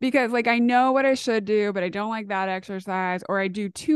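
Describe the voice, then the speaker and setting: At a moderate pace, a woman with a medium pitch and ordinary pitch variation speaks in an ordinary speaking voice over a quiet background. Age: 30s. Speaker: communication professor and dating coach. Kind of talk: casual chat.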